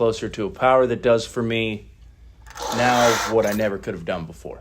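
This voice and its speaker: This man speaks with a Midwestern American accent. His pitch is fairly low and his pace moderate. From US Midwest, Northeast Ohio. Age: 30s. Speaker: recovery meeting speaker. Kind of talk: personal testimony at recovery meeting. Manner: casual, halting with filler words.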